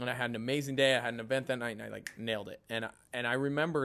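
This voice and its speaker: In an American accent, a man with a medium pitch and a bright, sharp tone speaks at a very fast pace. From New York (Westchester). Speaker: podcast host. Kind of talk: casual interview chat. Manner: animated.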